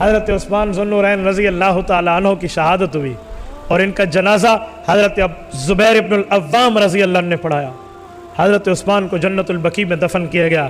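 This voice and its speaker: Music plays in the background as a man speaks in a high voice with ordinary pitch variation and very even loudness. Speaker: Islamic scholar giving a sermon. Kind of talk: emotional religious sermon (bayan) narrating a historical story.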